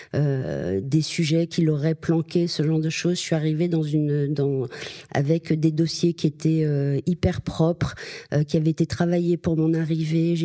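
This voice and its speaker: The speech moves at a fairly slow pace with fairly even intonation, and background noise is noticeable. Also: woman, dry, close sound with no echo. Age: 50s. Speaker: media agency executive. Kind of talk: interview. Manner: hesitant, many fillers.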